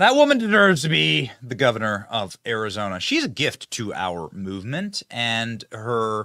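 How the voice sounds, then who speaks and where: With an American accent, this voice has a bright, sharp tone, very wide pitch swings and a fairly slow pace, in a dry, close sound with no echo. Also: man. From Iowa, US Midwest. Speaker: podcast host. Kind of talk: political commentary show. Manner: animated.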